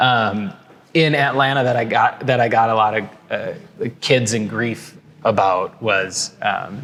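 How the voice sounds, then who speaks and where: A man with a Minnesotan accent speaks at a fairly slow pace. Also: medium pitch for a man, ordinary pitch variation. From Minnesota, Twin Cities. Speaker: podcast guest, business banker. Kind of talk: casual interview chat. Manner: hesitant, many fillers and restarts.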